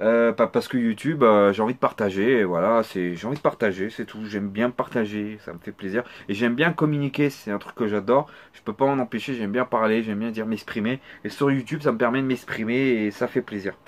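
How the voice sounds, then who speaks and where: Speaking at a fairly quick pace, a man with a medium pitch uses ordinary pitch variation. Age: 30s. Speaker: gaming youtuber. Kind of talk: Q&A video answering subscriber questions. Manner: halting.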